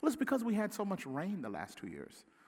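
With an animated tone and a Mississippi accent, a high-pitched man swings his pitch very widely. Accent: Southern US (Mississippi). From US South, Mississippi. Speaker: pastor, church planter. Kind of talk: sermon.

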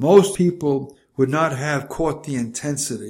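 With a New York accent, a man speaks with ordinary pitch variation. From New York City. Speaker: memoir narrator, retired minister. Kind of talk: reading aloud from a memoir, scripted narration.

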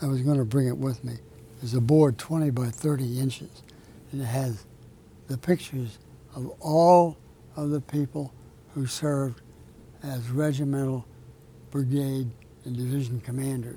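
A man with an American accent, a medium pitch and a dark, mellow, somewhat breathy tone, at a moderate pace with fairly even intonation and long, frequent pauses. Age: 80s+. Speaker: author and retired military officer. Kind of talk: interview. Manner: halting.

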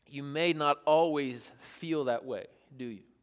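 An animated man with an American accent at a fairly high pitch, on a very clean recording with a silent background. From US South, rural East Tennessee. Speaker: youth pastor. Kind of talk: sermon. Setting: stage with audience.

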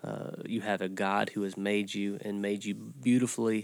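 A man's fairly low-pitched voice, an unremarkable speaking voice, with ordinary pitch variation. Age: 40s. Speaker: church podcast host, pastor. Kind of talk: casual discussion. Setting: studio.

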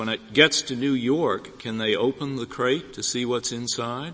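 Here a man speaks at a moderate pace. His pitch sits in the medium range. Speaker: judge. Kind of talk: courtroom questioning. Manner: halting.

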